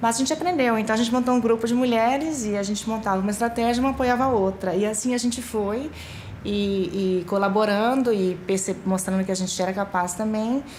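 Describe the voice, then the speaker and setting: Speaking fairly quickly with a Brazilian accent, a woman keeps a fairly high pitch, ordinary pitch variation and very even loudness, with noticeable background noise and audible room echo. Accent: Brazilian Portuguese, clearly noticeable. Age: middle-aged. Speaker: UN official. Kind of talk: documentary interview.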